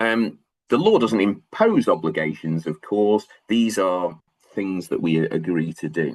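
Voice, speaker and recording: A man speaks fairly slowly with a Manchester accent. His pitch is fairly low, with ordinary variation. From northern England, Manchester. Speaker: law lecturer. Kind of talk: lecture. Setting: video call webinar. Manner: hesitant, many fillers.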